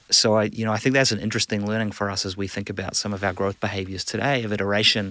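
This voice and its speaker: A man with a New Zealand accent talks in a fairly low voice with a bright, sharp tone. His intonation is monotone and flat. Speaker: business executive. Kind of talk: casual interview. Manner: hesitant, filler-heavy.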